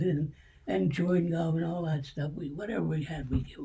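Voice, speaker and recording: With a Pennsylvania accent, this man has a fairly high pitch, a dark, mellow tone and ordinary pitch variation. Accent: Pennsylvania American. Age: 80s+. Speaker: World War II veteran. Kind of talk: interview answer.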